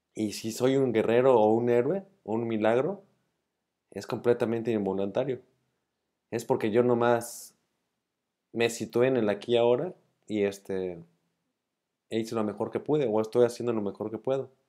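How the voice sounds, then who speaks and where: A man's dark, mellow tone at a moderate pace, with long, frequent pauses and a quiet background. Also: ordinary pitch variation. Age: 40s. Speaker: illness survivor vlogger; vlogger. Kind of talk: monologue to camera, partly read argument. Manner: halting, with repeated words. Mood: calm, reflective. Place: home room. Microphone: earbuds.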